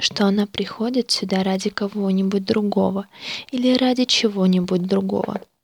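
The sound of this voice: Read aloud in an unforced voice, the words rise and fall in pitch in an ordinary way.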